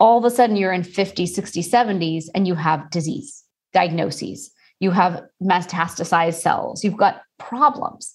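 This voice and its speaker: With an American accent, a woman of medium pitch speaks at a fairly slow pace, somewhat breathy, with ordinary pitch variation. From Texas, Houston. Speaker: Ayurvedic practitioner. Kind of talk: interview.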